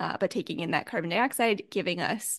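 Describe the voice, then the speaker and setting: Against a quiet background with a dry, close sound and no echo, a woman uses an unremarkable speaking voice, fairly high in pitch with lively intonation. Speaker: podcast host. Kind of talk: casual chat.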